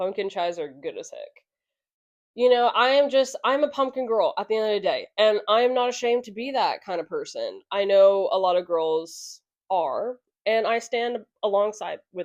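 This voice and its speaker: A woman with an American accent speaks at high pitch and a fairly slow pace, her intonation lively. Her loudness swings a lot, over a quiet background. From California. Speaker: podcast host. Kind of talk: casual chat. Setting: home, on a couch. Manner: animated.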